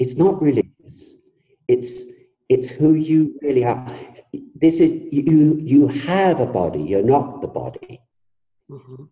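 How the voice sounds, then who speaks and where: Speaking with an English accent at a fairly slow pace, a man with a fairly high voice takes long, frequent pauses, showing big swings in loudness and ordinary pitch variation. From England. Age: 70s. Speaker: author and former musician. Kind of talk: interview.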